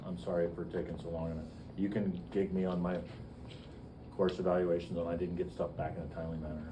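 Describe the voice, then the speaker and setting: A man's very deep, low voice at a very fast pace, with audible room echo. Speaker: biology professor. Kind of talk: lecture. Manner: loud; animated.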